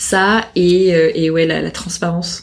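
Her pitch fairly low, a woman speaks in a somewhat breathy, monotone voice with flat intonation. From Paris. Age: 30s. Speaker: head of talent. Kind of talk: casual interview. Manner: hesitant, many fillers.

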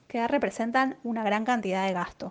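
Moderately paced, a woman speaks with ordinary pitch variation. Her voice is high. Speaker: economist. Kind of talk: economic commentary column. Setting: sent via WhatsApp.

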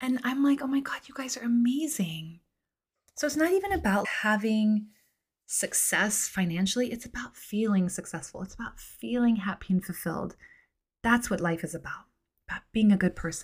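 A woman at a fairly high pitch and a moderate pace, with lively intonation, an animated tone, somewhat breathy delivery and big swings in loudness, on a very clean recording over a silent background. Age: 40s. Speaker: podcast host and midlife coach. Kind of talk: casual monologue.

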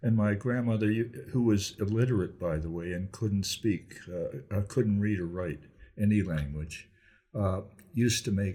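With a dark, mellow tone and a somewhat breathy, fairly low voice, a man speaks at a fairly slow pace with lively intonation. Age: 80s+. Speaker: grandparent telling life story. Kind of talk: casual chat. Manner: halting.

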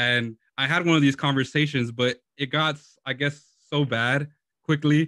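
Against a quiet background, a man with an American accent talks at a moderate pace in a fairly high pitch, his bright, sharp tone carried by fairly even intonation. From Lynwood, California (LA area). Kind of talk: live-streamed faith discussion.

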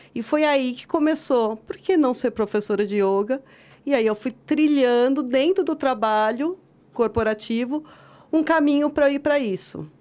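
The intonation is lively, and the recording is very clean with a silent background. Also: woman, high pitch for a woman, moderate pace. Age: 40s. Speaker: yoga teacher. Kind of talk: casual chat.

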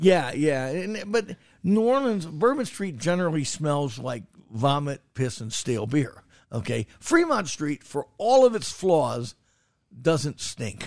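A man at a very slow pace, with very wide pitch swings. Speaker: restaurant critic and podcast host. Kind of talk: casual banter. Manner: jokey, wordplay-loving.

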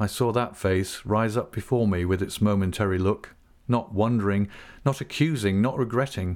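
Someone reads the text aloud in a natural voice, the pitch moving in an ordinary way.

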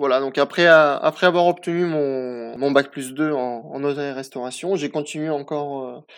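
A man's fairly high-pitched voice, fairly slow in pace, with fairly even intonation. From France, Nice. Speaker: chef. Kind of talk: interview. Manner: halting.

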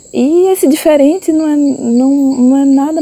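A woman talks at a very slow pace. Background noise is noticeable. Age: 30s. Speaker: visual artist. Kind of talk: personal testimony. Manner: halting, with repetitions.

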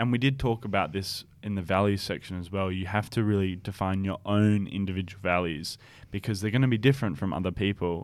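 In an ordinary speaking voice, a man with a fairly low pitch talks at a fairly quick pace, with hardly any pauses and ordinary pitch variation. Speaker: podcast co-host. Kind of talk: casual chat.

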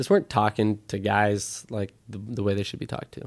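In an ordinary speaking voice with an American accent, a man talks at a fairly quick pace and fairly low pitch, on a very clean recording with a silent background. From US Midwest. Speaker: apparel brand co-founder. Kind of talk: interview.

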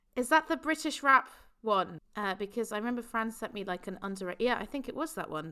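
Very fast, lively speech with a bright, sharp tone, on a very clean recording with a silent background. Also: woman, fairly high pitch for a woman. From England. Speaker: podcast host. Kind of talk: casual chat.

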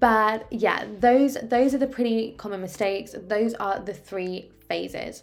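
With a southern English accent, a woman speaks at a fairly slow pace in a fairly high pitch and an animated tone, with hardly any pauses and music in the background. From England, Oxford. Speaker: business coach and podcast host. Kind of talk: casual solo podcast advice.

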